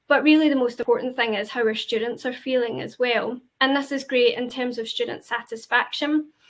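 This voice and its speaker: With a Glaswegian accent, a woman speaks in a high voice with fairly even intonation. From Scotland, Glasgow. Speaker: university representative. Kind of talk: presentation. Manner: hesitant, many fillers.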